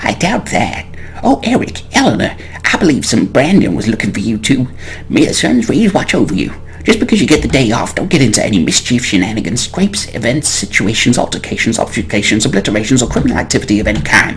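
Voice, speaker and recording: Someone talks in a gruff, put-on character voice at a very fast pace. Background noise is clearly audible. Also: man, medium pitch for a man. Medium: game stream.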